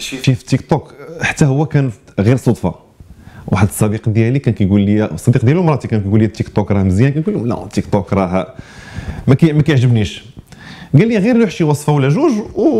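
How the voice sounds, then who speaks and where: The man's pitch is medium, and it moves in very wide swings. He sounds somewhat breathy and talks at a fairly quick pace. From Morocco. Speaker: chef and restaurant manager; interviewee. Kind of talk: interview. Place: studio.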